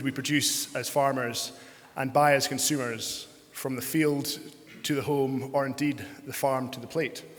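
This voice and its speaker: At a moderate pace, a man with a fairly high pitch speaks through audible room echo and noticeable background noise. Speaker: panel moderator and farmer. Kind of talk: panel discussion moderation. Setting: conference stage with audience. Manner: hesitant, many fillers.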